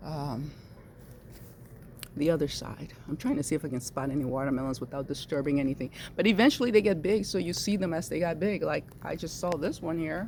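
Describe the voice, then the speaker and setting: A soft-spoken woman with a very deep, low pitch, lively intonation and a fairly quick pace. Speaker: home gardener vlogger. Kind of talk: casual garden vlog. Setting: outdoors in garden. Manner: soft, low near plants.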